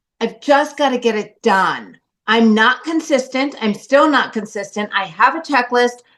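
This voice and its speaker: A loud woman with a high pitch, ordinary pitch variation and a fairly slow pace. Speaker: course participant. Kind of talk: testimony. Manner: animated.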